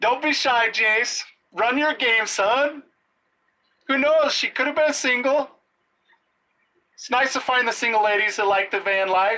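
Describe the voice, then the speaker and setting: Long pauses come often as the speaker proceeds at a fairly slow pace. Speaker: livestreamer. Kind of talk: live stream chat reading comments. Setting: at work at night.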